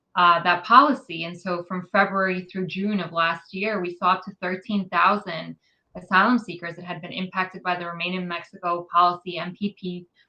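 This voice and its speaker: In an American accent and a plain, everyday voice, a woman speaks at a fairly quick pace in a fairly low pitch with big swings in loudness. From New York City. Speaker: immigrant rights advocate. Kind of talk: interview.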